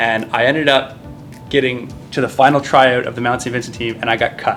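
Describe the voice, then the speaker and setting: A man's monotone, flat delivery at a moderate pace over music in the background. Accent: Maritime Canadian. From Nova Scotia, Canada. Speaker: naval officer and military basketball player. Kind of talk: casual interview chat. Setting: gym, stretching after workout.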